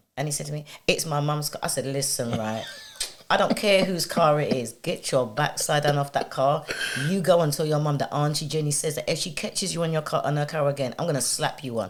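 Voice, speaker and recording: With noticeable background noise behind her, a woman talks at a fairly quick pace in a very deep, low pitch with ordinary pitch variation. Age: 50s. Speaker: podcaster. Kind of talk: casual chat. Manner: animated.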